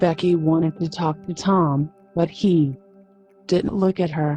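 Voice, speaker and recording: Over music in the background, a soft-spoken woman talks very slowly with fairly even intonation. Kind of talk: sleep story.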